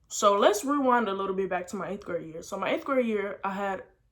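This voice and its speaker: With an American accent, a woman talks at a fairly quick pace in a medium pitch. Her intonation is lively. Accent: slight African, mostly American. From Senegal and Houston, Texas. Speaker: vlogger. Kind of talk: personal storytelling vlog.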